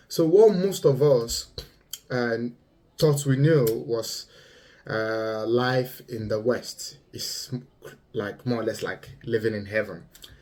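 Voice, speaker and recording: Speaking in a Yoruba accent, a man with a medium pitch talks at a very slow pace, with long, frequent pauses and ordinary pitch variation. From Nigeria. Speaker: vlogger. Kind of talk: monologue commentary. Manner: halting, many fillers.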